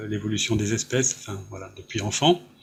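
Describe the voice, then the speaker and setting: Noticeable background noise sits under a voice whose pitch varies in an ordinary way. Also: man. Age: 60s. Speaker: author. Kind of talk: interview.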